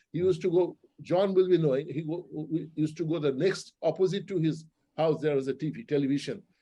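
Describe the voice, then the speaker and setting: A man's dark, mellow tone at a very fast pace. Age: 60s. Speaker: classical musician and teacher. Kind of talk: interview talk, reminiscing. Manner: halting, many restarts.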